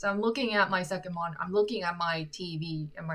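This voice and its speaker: Fairly quick, fairly low woman's voice with an American accent, set against noticeable background noise. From South Korea. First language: Korean. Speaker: musician and livestreamer. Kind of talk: live stream Q&A chat. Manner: halting, frequent self-corrections.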